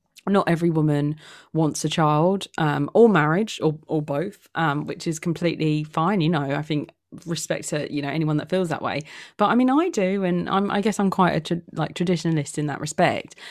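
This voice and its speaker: A woman speaks with a British accent at a moderate pace. Her voice is fairly low in pitch, with ordinary pitch variation. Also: very clean recording, silent background. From UK. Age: 20s. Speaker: podcast host. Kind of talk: casual chat.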